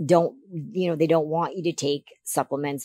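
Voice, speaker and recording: A woman's fairly low voice with a Canadian accent, in a dry sound with no echo. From Canada. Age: 50s. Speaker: figure competitor. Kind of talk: interview. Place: studio. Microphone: studio mic.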